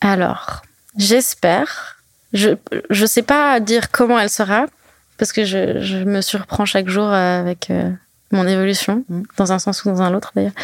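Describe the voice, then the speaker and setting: In a dry, close sound with no echo, a woman speaks at a fairly slow pace and medium pitch, with fairly even intonation and long, frequent pauses. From French-speaking Switzerland (Lausanne, Verbier). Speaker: freeride skier. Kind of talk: casual interview. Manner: halting, many fillers and repetitions.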